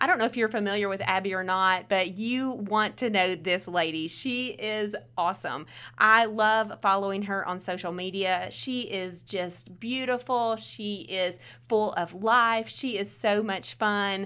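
A woman speaks at a fairly slow pace in a medium pitch, with ordinary pitch variation. Her tone is bright and sharp, and the recording is very clean with a silent background. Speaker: podcast host. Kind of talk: casual intro and outro.

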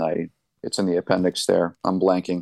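A man's very deep, low voice, recorded dry and close with no echo against a quiet background. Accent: American. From New Hampshire, US. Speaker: pastor. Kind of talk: interview.

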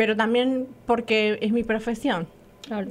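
This woman has a fairly high pitch and keeps her intonation fairly even. She talks at a moderate pace. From Argentina. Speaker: radio co-host. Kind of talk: casual chat.

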